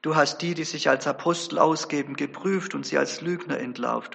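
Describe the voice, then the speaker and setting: Speaking at a moderate pace, a man with a fairly high pitch and ordinary pitch variation has an unremarkable speaking voice. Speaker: preacher. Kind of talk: sermon. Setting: church. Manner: earnest, formal; measured, storytelling.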